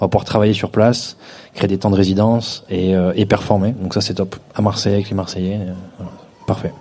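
A man speaks fairly quickly in a fairly low voice, leaving long, frequent pauses. His intonation is monotone and flat, and background noise is noticeable. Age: 30s. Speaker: DJ. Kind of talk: live podcast interview. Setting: stage with live audience.

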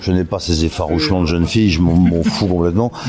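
A man speaks very fast with a very deep, low pitch and fairly even intonation. Noticeable background noise is audible. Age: 60s. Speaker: voice actor. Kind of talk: interview. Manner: halting.

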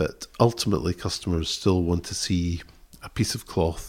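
In a Scottish accent, a man with a very deep, low pitch speaks at a moderate pace and fairly even intonation, recorded very cleanly over a silent background. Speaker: textile designer. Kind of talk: interview. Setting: tweed mill. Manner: halting.

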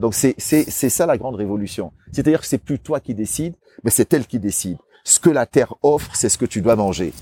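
This man has a medium pitch and a dark, mellow tone. His pitch swings very widely. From Cameroon. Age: 50s. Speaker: guesthouse owner, former restaurateur. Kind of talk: casual interview. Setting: at his house in São Tomé.

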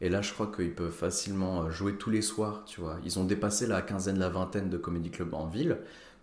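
The man's fairly low voice comes with audible room echo. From Lorraine, France (Nancy). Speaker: stand-up comedian and doctor. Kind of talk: casual chat. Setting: home recording.

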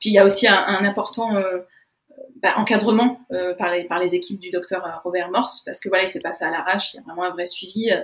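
A plain, everyday voice from a woman at medium pitch, with fairly even intonation and a fairly quick pace. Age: 20s. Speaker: naturopathy student. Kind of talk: interview.

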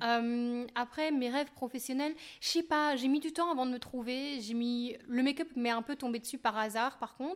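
Speaking at a moderate pace with a high pitch and fairly even intonation, a woman comes through on a very clean recording with a silent background. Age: 30s. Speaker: YouTuber and makeup artist. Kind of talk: casual chat.

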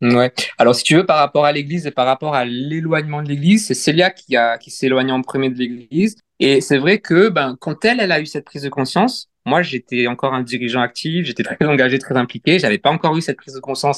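Very fast delivery with big swings in loudness, ordinary pitch variation, and a dry, close sound free of echo. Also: man, fairly high pitch for a man. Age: 30s. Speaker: church member sharing faith journey. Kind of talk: casual interview. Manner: halting.

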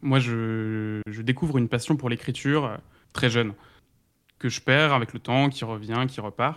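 In a very clean recording with a silent background, a man with a normal speaking voice and medium pitch talks at a fairly slow pace with fairly even intonation. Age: 20s. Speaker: content creator and ghostwriter. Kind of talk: interview.

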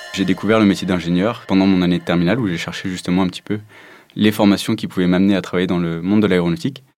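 A man with a very deep, low voice talks very fast in a fairly even tone while music plays in the background. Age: 20s. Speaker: aerospace propulsion engineer. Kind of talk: interview testimony.

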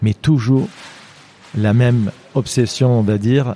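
A man speaks with a dark, mellow tone at medium pitch and ordinary pitch variation. The sound is dry and close, with no echo. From Lebanon. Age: 50s. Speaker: mountaineer and endurance athlete. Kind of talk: interview storytelling. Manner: halting, many hesitations.

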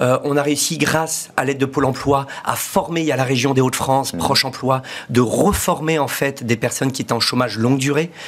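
A man speaks at a fairly quick pace with fairly even intonation. Noticeable background noise can be heard. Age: 40s. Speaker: entrepreneur. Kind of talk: interview.

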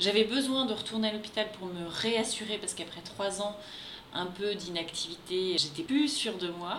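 Over noticeable background noise and audible room echo, a woman speaks at medium pitch. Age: 30s. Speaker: expatriate spouse. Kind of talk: interview.

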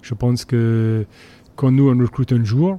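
Recorded dry and close with no echo, a man with an English accent and a dark, mellow tone speaks at a medium pitch and a very slow pace. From Scotland, Borders (Jedburgh). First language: English (speaking French). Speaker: rugby team manager. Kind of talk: interview. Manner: halting.

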